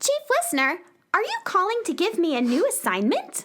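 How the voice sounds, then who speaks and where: Using a put-on character voice, a woman speaks at an extremely high pitch with very wide pitch swings, very even loudness and a moderate pace. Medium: audio drama. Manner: hesitant.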